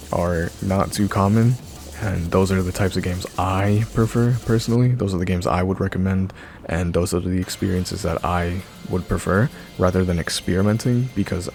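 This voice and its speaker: Music plays in the background as a man speaks at a fairly quick pace. His pitch is very deep and low, with fairly even intonation. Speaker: YouTuber, VR commentator. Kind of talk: opinion commentary. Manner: monotone; calm, laid-back.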